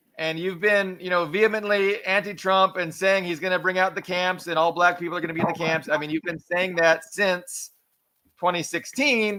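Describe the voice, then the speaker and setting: A man speaks loudly at a moderate pace in a high voice, his intonation fairly even. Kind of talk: heated debate. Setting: live stream.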